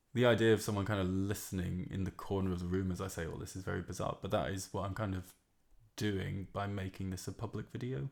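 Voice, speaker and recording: A man speaks at a very fast pace with a very deep, low pitch and fairly even intonation. The recording is very clean with a silent background. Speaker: amateur musician. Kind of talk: casual monologue. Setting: home room, alone.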